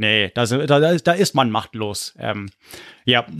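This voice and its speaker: A man speaks with an English accent. The recording is very clean with a silent background, and the sound is dry and close with no echo. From US/Munich, Germany (moved between both). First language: English (speaking German). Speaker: history podcaster. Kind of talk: casual chat.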